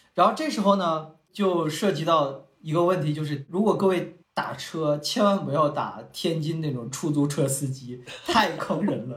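There is audible room echo as a man talks at a fairly slow pace, fairly high in pitch, with ordinary pitch variation. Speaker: podcast co-host. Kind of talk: casual chat.

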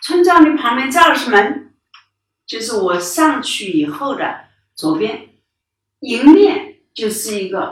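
The woman talks at a very slow pace. Her pitch swings very widely. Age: 80s+. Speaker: forestry scientist. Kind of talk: personal testimony. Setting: home study. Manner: halting, many fillers.

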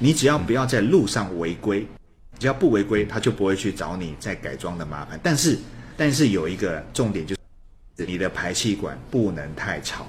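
Somewhat breathy, a man talks at a moderate pace in a fairly low pitch. His pitch swings very widely. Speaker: car reviewer. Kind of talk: casual interview chat.

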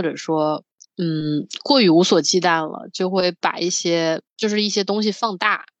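A woman with an unremarkable speaking voice talks at a fairly slow pace and a medium pitch. The background is quiet, and the sound is dry and close with no echo. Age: 20s. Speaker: podcast co-host. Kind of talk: casual chat.

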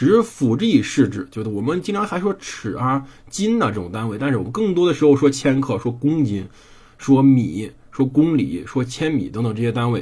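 With a slight Henan accent, a man talks at a fairly quick pace and medium pitch, his dark, mellow tone somewhat breathy and his pitch swinging very widely. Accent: slight Henan accent in Mandarin. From Henan, China. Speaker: podcast host reading and narrating history. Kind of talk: history storytelling monologue. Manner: casual, conversational.

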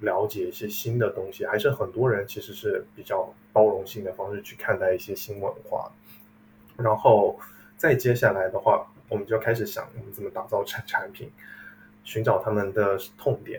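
Loudness jumps up and down a lot in this man's voice. He talks at a moderate pace. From China, tea-growing region. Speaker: tea brand entrepreneur. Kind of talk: interview.

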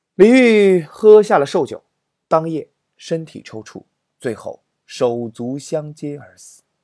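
A man talks very slowly in a fairly high pitch with a dark, mellow tone, very wide pitch swings and big swings in loudness. The recording is very clean and dry, close with no echo, over a silent background. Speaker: literature storytelling podcast host and teacher. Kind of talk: humorous storytelling narration. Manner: animated.

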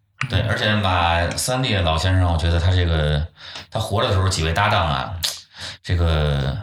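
With audible room echo, a man with a very deep, low pitch speaks somewhat breathily at a moderate pace, his loudness very even and his pitch varying in an ordinary way. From Beijing. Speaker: folk culture enthusiast. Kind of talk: casual chat.

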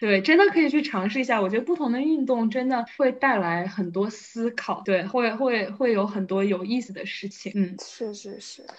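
In a normal speaking voice, a woman talks at a fairly high pitch and a moderate pace with ordinary pitch variation, hardly any pauses, and big swings in loudness. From Wuhan, China. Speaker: fitness enthusiast. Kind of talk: casual chat.

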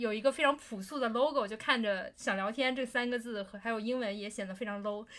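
A woman talks at a fairly quick pace with hardly any pauses, a fairly high pitch and fairly even intonation. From Beijing, China. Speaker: podcast co-host. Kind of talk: casual chat.

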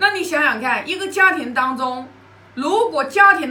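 A woman uses a raised, projected voice with very wide pitch swings. Noticeable background noise and audible room echo are present. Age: 50s. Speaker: Confucian classics study sharer. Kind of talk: lecture-style study sharing. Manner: hesitant, with fillers and repetitions.

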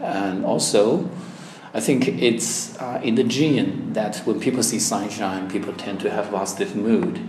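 This man speaks fairly slowly, with noticeable background noise around him. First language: Chinese. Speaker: language exam candidate. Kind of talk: oral exam interview. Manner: hesitant, with fillers.

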